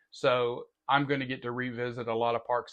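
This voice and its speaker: The man speaks at a moderate pace in a medium pitch. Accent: Southern US. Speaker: podcast host. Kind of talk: interview; podcast outro monologue.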